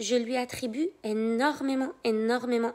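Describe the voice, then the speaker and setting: A woman's high-pitched voice at a very slow pace. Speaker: life coach. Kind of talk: live stream talk. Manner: soft-spoken.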